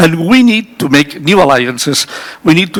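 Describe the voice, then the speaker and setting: Against noticeable background noise, a man with a fairly high voice speaks with very wide pitch swings. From Spain. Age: 60s. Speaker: energy industry specialist on a conference panel. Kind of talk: panel discussion. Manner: halting, many repetitions.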